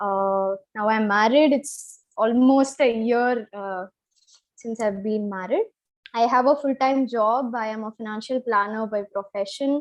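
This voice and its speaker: In a Kannada accent, a woman speaks at a fairly slow pace. Her pitch is fairly high, with fairly even intonation. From Chennai, South India. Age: 20s. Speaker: financial planner sharing health story. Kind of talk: live interview. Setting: live stream.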